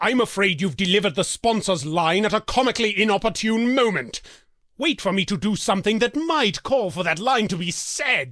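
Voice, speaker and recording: A put-on character voice from a man, pitched high and moving at a fairly quick pace. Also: lively intonation. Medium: video game. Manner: haughty, exasperated, theatrical.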